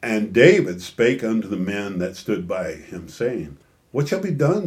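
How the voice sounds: A voice reads aloud naturally. The reading sounds natural throughout.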